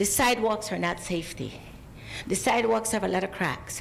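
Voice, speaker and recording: A woman with a fairly high pitch, in a room with audible echo. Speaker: public commenter at city council. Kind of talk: public comment. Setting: city council meeting.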